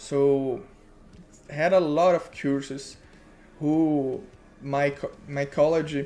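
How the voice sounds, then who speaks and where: Faint music plays behind a man speaking with a Brazilian Portuguese accent. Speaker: web developer streamer. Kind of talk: live coding tutorial. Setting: live stream. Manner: halting, searching for words. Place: home room.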